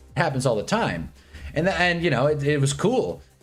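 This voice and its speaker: A man speaks at a fairly high pitch with music in the background. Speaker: sports streamer. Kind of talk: live stream chat. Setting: live stream. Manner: fast.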